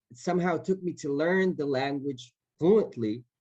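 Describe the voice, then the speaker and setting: Very slow speech in an Israeli accent carries a dark, mellow tone. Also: man. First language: Hebrew. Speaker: actor. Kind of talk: panel Q&A. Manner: halting, many repetitions.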